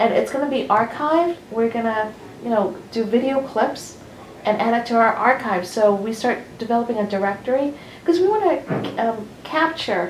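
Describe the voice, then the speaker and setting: Over noticeable background noise and audible room echo, a woman speaks with a New Jersey accent. Her fairly high voice has lively intonation at a moderate pace. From US Northeast, New Jersey (Hasbrouck Heights). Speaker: library oral history organizer. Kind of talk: briefing to interviewees. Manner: animated.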